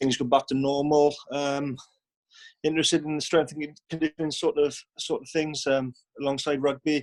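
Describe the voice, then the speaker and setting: At a moderate pace, a man speaks at a fairly high pitch in a flat monotone. The sound is dry and close, with no echo. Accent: Welsh. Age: 20s. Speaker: professional rugby player. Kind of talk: video call introduction.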